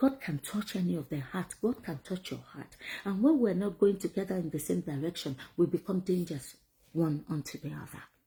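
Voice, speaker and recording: Fairly low for a woman, her somewhat breathy, dark and mellow voice moves at a fairly quick pace with lively intonation and big swings in loudness. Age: 50s. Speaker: vlogger. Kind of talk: motivational talk. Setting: at home.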